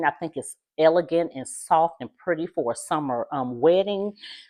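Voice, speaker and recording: A woman speaks at a moderate pace against a quiet background. Her voice has a fairly low pitch and a dark, mellow tone. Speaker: wedding decorator vlogger. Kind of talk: casual vlog. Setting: at home. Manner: loud.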